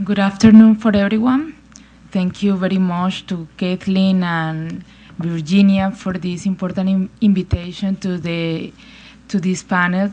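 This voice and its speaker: Speaking with a Spanish accent, a woman at medium pitch has a somewhat breathy, dark, mellow tone and fairly even intonation. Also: fairly slow pace. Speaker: women's rights advocate, panelist. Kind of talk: panel talk. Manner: halting non-native English.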